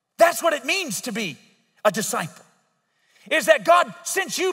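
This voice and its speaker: Against a quiet background, a man speaks in an extremely high pitch with lively intonation. His voice is raised and projected, and his pace is moderate. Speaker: pastor. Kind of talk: sermon. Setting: church service, live audience. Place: church. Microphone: headset.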